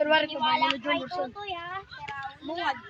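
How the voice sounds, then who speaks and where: Amid noticeable background noise, the speaker's pitch swings very widely. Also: woman. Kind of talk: cheering spectator at a game. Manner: loud; animated.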